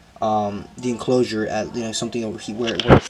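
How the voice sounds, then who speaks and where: Noticeable background noise fills the recording. Over it, a man speaks very fast. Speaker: exotic pet keeper and video creator. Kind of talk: casual vlog talk to camera. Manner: halting, with many fillers and repetitions.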